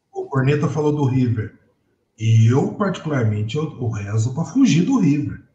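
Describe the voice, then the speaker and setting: A man's fairly high, somewhat breathy voice with a dark, mellow tone, lively intonation and a moderate pace. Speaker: football podcast panelist. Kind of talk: casual chat.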